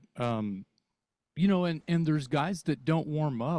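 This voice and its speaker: A man with an unremarkable speaking voice talks at a fairly slow pace with lively intonation. The sound is dry and close with no echo, and the recording is very clean with a silent background. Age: 60s. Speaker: rock singer. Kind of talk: casual chat.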